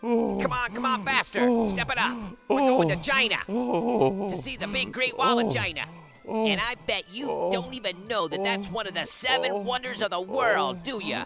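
A man puts on a cartoonish character voice, high-pitched, raised and projected, with lively intonation at a moderate pace over clear background noise. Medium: puppet show. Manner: brash, fast, wheeling-dealing.

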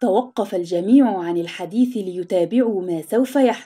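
A natural voice, reading aloud

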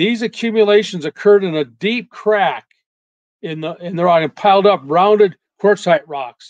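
A man with an American accent and a high pitch talks at a moderate pace, with ordinary pitch variation and big swings in loudness, in a dry, close sound with no echo. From US Pacific Northwest, Seattle. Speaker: retired meteorologist and creationist researcher. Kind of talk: slide lecture.

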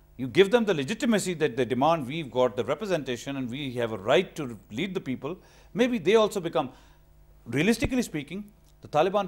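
The speaker races along at a very fast pace, with very wide pitch swings. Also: man. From Pakistan. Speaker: senior analyst. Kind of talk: TV panel discussion. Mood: earnest, argumentative. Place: studio. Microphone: lapel.

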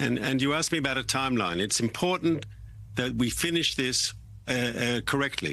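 A man speaks with vocal fry in a dry recording that has no echo. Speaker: remote guest. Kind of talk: interview answer. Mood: firm, measured. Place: studio.

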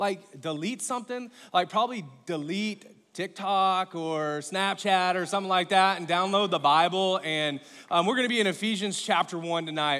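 This man uses a raised, projected voice with a bright, sharp tone and ordinary pitch variation. He keeps a moderate pace against a quiet background. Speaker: pastor. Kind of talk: sermon. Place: stage.

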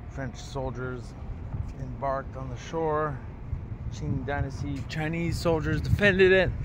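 A man speaks at a fairly slow pace, with long, frequent pauses. The sound is dry with no echo, and there is noticeable background noise. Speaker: travel vlogger. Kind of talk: casual vlog chat. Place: open country. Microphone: phone near.

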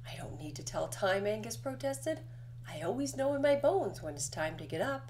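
The speaker reads out loud. It is a natural reading voice.

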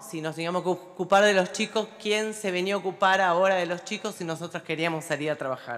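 A woman talks at a fairly quick pace with hardly any pauses, ordinary pitch variation and a quiet background. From Olavarría, Buenos Aires Province, Argentina; Buenos Aires Province, Argentina. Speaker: local politician; city councillor. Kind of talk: formal speech. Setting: legislative chamber. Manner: halting, with many fillers. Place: hall. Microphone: podium.

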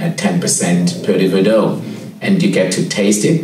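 A man talks at a fairly slow pace. Audible room echo and light background noise surround his voice. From Cape Town, South Africa. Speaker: head sommelier. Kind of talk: interview answer. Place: office.

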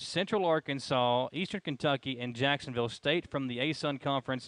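The man talks at a fairly quick pace with ordinary pitch variation. The sound is dry with no echo. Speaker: sports show co-host. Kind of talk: commentary. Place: hall. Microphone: headset.

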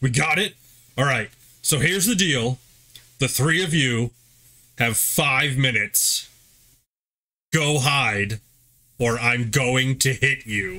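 On a very clean recording with a silent background, a man of medium pitch uses a put-on character voice at a fairly slow pace with long, frequent pauses. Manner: excited, boisterous.

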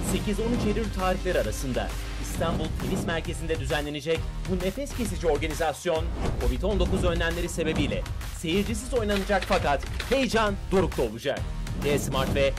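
A man talks at a moderate pace. Behind him, clear music plays. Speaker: radio sports commentator and voice-over artist. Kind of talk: promo/commercial narration for sports events. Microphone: studio mic.

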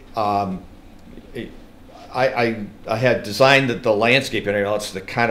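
Moderately paced speech with fairly even intonation, audible room echo and light background noise. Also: man. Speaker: landscape designer; presenter. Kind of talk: technical presentation. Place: hall. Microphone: camera far.

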